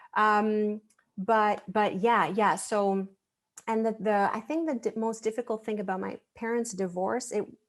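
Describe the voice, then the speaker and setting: A woman with a French accent speaks at a fairly slow pace. Her voice is fairly high, with fairly even intonation. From Quebec, Montreal. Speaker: astrologer. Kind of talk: casual interview.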